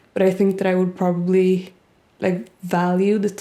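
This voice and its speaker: A woman speaks at a moderate pace with a Swedish accent. Her voice is medium in pitch, with a dark, mellow tone. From Sweden. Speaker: YouTuber. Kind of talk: casual Q&A vlog.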